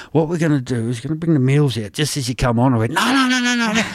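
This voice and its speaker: A man speaks very fast in a rural Australian accent. His pitch swings very widely. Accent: broad rural Australian. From rural Albury-Wodonga area, Australia. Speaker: stand-up comedian. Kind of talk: casual interview.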